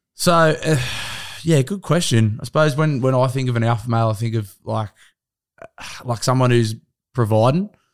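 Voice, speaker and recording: A man with an Australian accent talks at a moderate pace with medium pitch and ordinary pitch variation. His pauses are long and frequent. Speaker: podcast guest. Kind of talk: casual chat.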